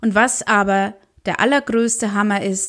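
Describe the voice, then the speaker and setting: A woman with an ordinary speaking voice talks at a medium pitch and a fairly slow pace. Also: very clean recording, silent background. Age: 40s. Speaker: social media podcast host. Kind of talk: weekly news roundup monologue.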